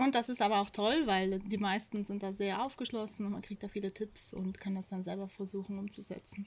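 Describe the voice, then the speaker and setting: A woman talks at a fairly quick pace with hardly any pauses. Her voice is somewhat breathy, with fairly even intonation. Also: medium pitch for a woman. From South Tyrol, Italy (Pfitsch valley). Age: 30s. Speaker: farmer. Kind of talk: interview. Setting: on a farm.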